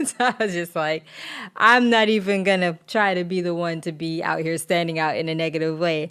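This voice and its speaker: A woman with an American accent and an ordinary speaking voice, at a fairly quick pace with ordinary pitch variation. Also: fairly low pitch for a woman. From Florida (Pine Hills, Orlando area), then New York from 13. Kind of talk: personal testimony, casual. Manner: casual, with many fillers and restarts.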